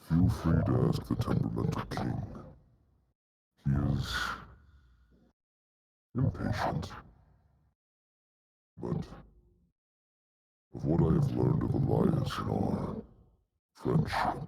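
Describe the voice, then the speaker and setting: A man uses a put-on character voice with a very deep, low pitch. He goes at a fairly slow pace with long, frequent pauses. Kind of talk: fantasy NPC acting. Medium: actual play. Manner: archaic, formal, measured.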